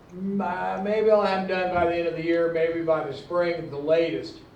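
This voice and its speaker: Amid noticeable background noise and audible room echo, a man with a high pitch talks at a moderate pace. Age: 60s. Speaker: publisher and former oil field engineer, convention panelist. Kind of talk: convention panel talk. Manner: halting, many fillers and restarts.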